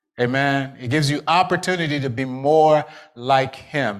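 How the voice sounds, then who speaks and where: A man speaks in a fairly high pitch with an animated tone. The recording is very clean, with a silent background. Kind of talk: sermon. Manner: urgent, pleading altar-call tone with repeated exhortations; animated, rhythmic repetition with call-and-response.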